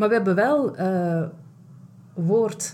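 Very slow and somewhat breathy, a woman's dark, mellow voice shows ordinary pitch variation. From Belgium (Flanders). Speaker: self-care and burnout coach, podcast host. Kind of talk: casual interview chat. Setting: large room, in person.

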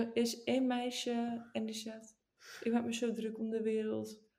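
A woman with a fairly high pitch and a dark, mellow tone speaks at a fairly slow pace in a flat monotone, her loudness swinging widely amid audible room echo. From northern Netherlands. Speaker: podcast co-host. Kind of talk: casual chat.

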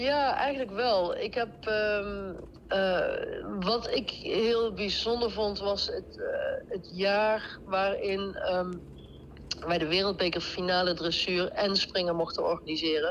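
A woman's medium-pitched voice at a very slow pace, with ordinary pitch variation and noticeable background noise. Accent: Brabant. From Netherlands, North Brabant (Deurne near Eindhoven). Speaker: event board member. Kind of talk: casual interview.

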